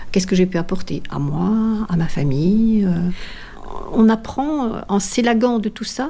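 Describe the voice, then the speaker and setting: A woman talks fairly slowly, her intonation lively, while noticeable noise runs in the background. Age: 60s. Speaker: long-distance walker and author. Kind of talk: personal testimony. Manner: halting, many hesitations.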